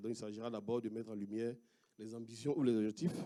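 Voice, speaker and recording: Speaking at a fairly quick pace in an Ivorian accent, a man has a medium pitch and a dark, mellow tone. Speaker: researcher. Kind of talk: conference talk. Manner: halting, many hesitations.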